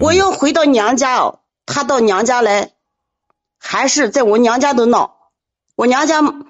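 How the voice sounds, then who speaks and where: A woman speaks at a high pitch and a fairly slow pace, with ordinary pitch variation. Her loudness is very even, and her pauses are long and frequent. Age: 40s. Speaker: caller. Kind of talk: casual chat. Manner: urgent.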